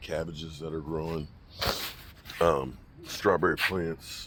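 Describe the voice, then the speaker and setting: Over noticeable background noise, a man speaks in a relaxed tone with a very deep, low pitch. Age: 60s. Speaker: cooking and homesteading vlogger. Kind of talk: casual vlog talk to camera. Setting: outdoors in garden. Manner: relaxed, conversational with fillers.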